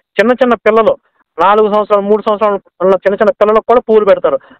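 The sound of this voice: A man talks at a very fast pace in a high voice with fairly even intonation. His tone is clear and smooth, and the sound is dry and close with no echo.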